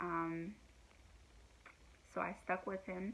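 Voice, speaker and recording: This woman speaks at a fairly low pitch with fairly even intonation. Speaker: vlogger sharing abuse survivor story. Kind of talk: personal testimony vlog. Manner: halting, many fillers.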